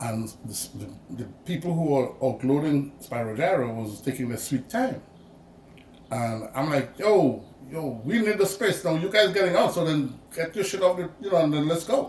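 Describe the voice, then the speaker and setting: A man with a Grenadian accent speaks at a moderate pace. His fairly high pitch moves in very wide swings. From Grenada, Saint Andrew. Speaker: community activist and TV producer. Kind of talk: interview. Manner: halting, many fillers.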